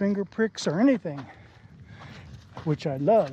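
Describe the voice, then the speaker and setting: A man's dark, mellow voice, dry with no echo, over light background noise. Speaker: outdoor vlogger. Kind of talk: casual vlog narration. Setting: outdoors. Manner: panting. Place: open country. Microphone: phone near.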